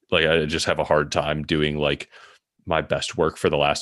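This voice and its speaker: A man speaks with a Midwestern American accent at a very deep, low pitch. The recording is very clean, with a silent background. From US Midwest, Michigan near Detroit. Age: 30s. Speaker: author and product strategist. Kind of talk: casual interview.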